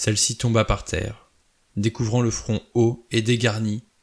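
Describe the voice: Over a quiet background, the speaker reads aloud plainly.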